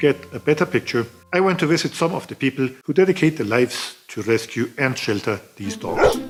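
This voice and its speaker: Music plays in the background as a man with a German accent talks at a fairly quick pace. His fairly high voice makes very wide pitch swings. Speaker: travel video maker. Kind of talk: documentary voiceover narration.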